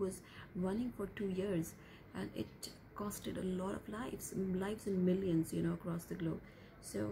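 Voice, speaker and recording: A woman speaks at a moderate pace with fairly even intonation. Light background noise sits underneath. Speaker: vlogger. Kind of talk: casual vlog chat. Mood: calm, concerned. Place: home room. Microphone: phone near.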